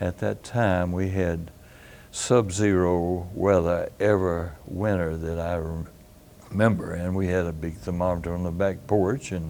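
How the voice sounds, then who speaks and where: With audible room echo, a man speaks at a fairly slow pace in a very deep, low pitch, with a dark, mellow tone and fairly even intonation. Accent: Tennessee. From Carthage, Tennessee (US South). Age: 90s (80s+). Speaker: retired physician. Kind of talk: oral history interview. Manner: halting, many fillers.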